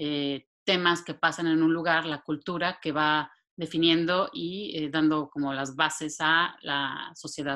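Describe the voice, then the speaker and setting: Against a quiet background, the speech moves at a fairly slow pace with hardly any pauses and a monotone, flat intonation. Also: woman, very deep, low pitch for a woman. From Mexico City. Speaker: social scientist, therapist. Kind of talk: casual interview conversation.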